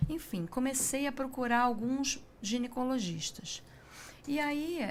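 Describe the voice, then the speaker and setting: Speaking very slowly in a Rio de Janeiro accent, a woman uses a high pitch and lively intonation. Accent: carioca. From Rio de Janeiro, Brazil. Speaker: breast cancer survivor, patient. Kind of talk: testimony in interview.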